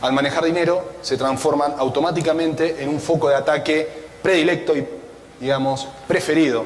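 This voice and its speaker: Speaking with an Argentine accent, a man uses a fairly high pitch, ordinary pitch variation and a moderate pace, with audible room echo and noticeable background noise. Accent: Argentine (Rioplatense) Spanish. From Argentina, Buenos Aires. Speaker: cybersecurity analyst. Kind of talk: conference talk.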